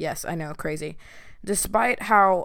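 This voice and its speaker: The speech comes at a fairly slow pace with a slight Southern US accent. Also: woman. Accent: slight Southern country twang. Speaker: podcast host. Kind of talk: casual solo chat; motivational talk. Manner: relaxed, conversational.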